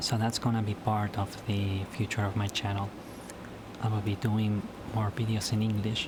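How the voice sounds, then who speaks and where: With an Argentine accent, a fairly low-pitched man talks in a monotone, flat intonation. His loudness stays very even against noticeable background noise. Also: moderate pace. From Argentina. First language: Spanish. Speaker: YouTuber. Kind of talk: casual vlog monologue. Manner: halting, hesitant with fillers.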